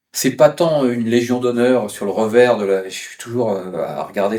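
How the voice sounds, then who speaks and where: Amid noticeable background noise, a man with a medium-pitched voice keeps to a moderate speed. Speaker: travel writer. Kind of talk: interview. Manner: hesitant, many fillers.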